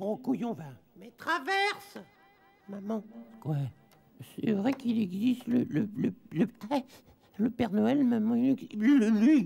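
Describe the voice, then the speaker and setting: Putting on a character voice, a man speaks at an extremely high pitch and a fairly slow pace, with long, frequent pauses. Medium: dub. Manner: slurred, stammering.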